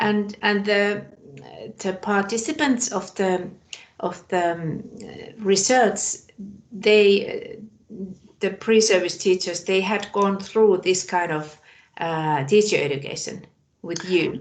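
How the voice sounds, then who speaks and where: Speaking with a non-native accent, a woman talks at a very slow pace with long, frequent pauses, her medium-pitched voice showing ordinary pitch variation. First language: not English. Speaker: webinar participant. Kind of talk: audience question. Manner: hesitant.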